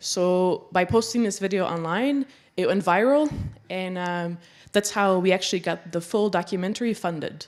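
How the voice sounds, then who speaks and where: A woman speaks with a Flemish accent on a very clean recording with a silent background. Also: medium pitch for a woman, ordinary pitch variation, moderate pace. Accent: Belgian (Flemish) English. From Belgium. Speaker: documentary photographer and filmmaker. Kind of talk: public talk.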